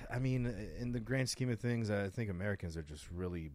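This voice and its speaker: In a very clean recording with a silent background, a man speaks at a fairly quick pace with ordinary pitch variation. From France. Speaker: racing instructor. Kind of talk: casual chat.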